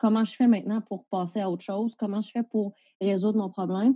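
A somewhat breathy woman speaks at a fairly quick pace and medium pitch, with ordinary pitch variation. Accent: Quebec. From Quebec, Valleyfield. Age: 30s. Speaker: police officer and entrepreneur. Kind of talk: casual interview. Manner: animated.

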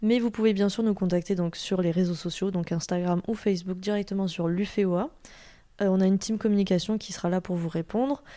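A woman with a dark, mellow tone speaks at a fairly quick pace with fairly even intonation in a very clean recording with a silent background. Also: medium pitch for a woman. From southern France, Toulouse. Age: 20s. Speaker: animal osteopathy student. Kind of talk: interview conversation. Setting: host's home.

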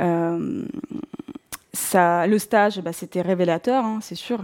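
Her voice has a dark, mellow tone at a medium pitch, and this woman keeps her intonation fairly even. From southern Russia, North Caucasus. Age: 40s. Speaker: bookshop owner, career changer. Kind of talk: personal testimony. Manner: hesitant, many fillers.

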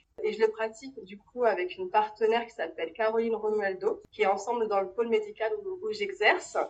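Talking at a fairly quick pace with hardly any pauses, a woman uses a fairly high pitch, ordinary pitch variation and big swings in loudness. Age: 30s. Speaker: kinesiologist running family workshops. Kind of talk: interview testimony. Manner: hesitant, many fillers.

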